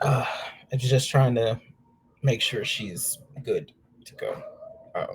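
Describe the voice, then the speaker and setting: A man's raspy, put-on character voice at a fairly slow pace, broken by long, frequent pauses. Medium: actual play. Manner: hesitant, stammering.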